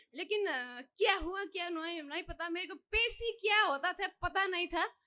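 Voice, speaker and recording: A woman with a non-native accent speaks in a raised, projected voice at an extremely high pitch. Her tone is bright and sharp, with ordinary pitch variation. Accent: non-native Hindi. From Nepal. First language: Nepali (speaking Hindi). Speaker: devotee. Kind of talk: testimony. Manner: halting.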